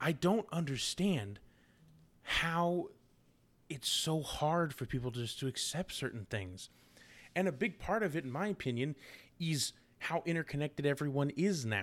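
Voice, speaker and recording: A man with a fairly high pitch speaks at a moderate pace with lively intonation and long, frequent pauses, on a very clean recording with a silent background. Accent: American. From United States. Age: 20s. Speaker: podcast host. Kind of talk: casual political commentary monologue.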